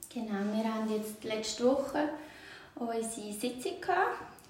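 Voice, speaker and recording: Over noticeable background noise and audible room echo, a woman speaks at a fairly high pitch and a fairly slow pace. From Switzerland, Aargau (Zurzibiet). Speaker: municipal clerk. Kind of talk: interview.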